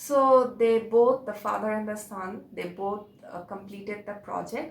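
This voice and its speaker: A woman with a fairly high voice talks at a moderate pace, her pitch varying in an ordinary way. Noticeable background noise and audible room echo surround her. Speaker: religious video presenter. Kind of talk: informal religious talk to camera. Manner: halting, many fillers.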